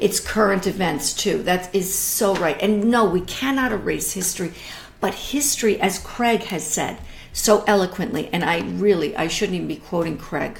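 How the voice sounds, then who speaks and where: A woman talks at a moderate pace in an enthusiastic tone, with ordinary pitch variation. Audible room echo and noticeable background noise fill the recording. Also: medium pitch for a woman. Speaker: art educator hosting a live stream. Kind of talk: casual live-stream talk about art. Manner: halting, with many ums.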